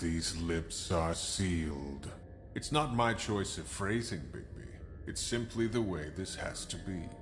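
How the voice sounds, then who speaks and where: Loud background noise surrounds a man doing a put-on character voice. He talks at a fairly slow pace with a very deep, low pitch. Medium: machinima. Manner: formal, cryptic.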